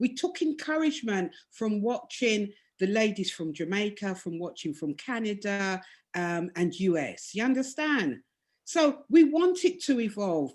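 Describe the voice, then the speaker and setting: A woman with a fairly high voice swings her pitch very widely against a quiet background. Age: 60s. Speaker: domino player and women's team organiser. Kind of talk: video call discussion.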